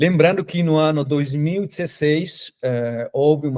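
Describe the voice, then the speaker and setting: Ordinary pitch variation from a man at a moderate pace, the background quiet. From Colombia. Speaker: academic researcher. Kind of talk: lecture. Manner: halting, many fillers.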